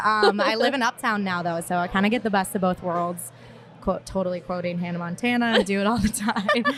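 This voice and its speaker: A medium-pitched woman with an American accent, fairly quick in pace and fairly even in intonation, over noticeable background noise. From Minnesota. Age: 20s. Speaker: marketing professional on a dating podcast. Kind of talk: casual chat. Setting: stage with audience. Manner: hesitant, many fillers.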